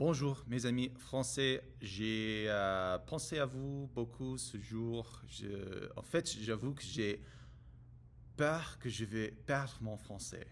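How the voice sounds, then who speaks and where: With an English accent, a man speaks at a very slow pace and medium pitch with ordinary pitch variation. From United States. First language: English (speaking French). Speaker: French learner vlogger. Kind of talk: casual monologue vlog. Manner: halting, many hesitations and repetitions.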